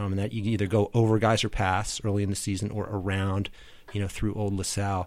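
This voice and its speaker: A man with an American accent speaks very fast at a fairly low pitch, keeping his intonation flat and monotone. The recording is very clean, with a silent background. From US Northeast, Philadelphia. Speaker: ice conditions reporter and skater. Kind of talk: casual chat. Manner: halting, many fillers.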